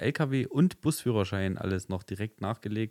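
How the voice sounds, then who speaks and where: This is a plain, everyday voice, a man talking at a moderate pace with lively intonation, recorded dry and close with no echo, very clean against a silent background. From eastern Germany, Leipzig. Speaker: podcast host. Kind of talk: casual chat.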